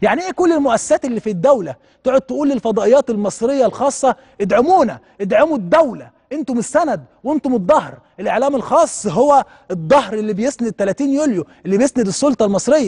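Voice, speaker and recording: A man speaks with an extremely high pitch, an animated tone and lively intonation. His pace is fairly quick, and the background is quiet. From Egypt. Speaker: TV talk show host. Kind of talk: TV commentary monologue. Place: studio.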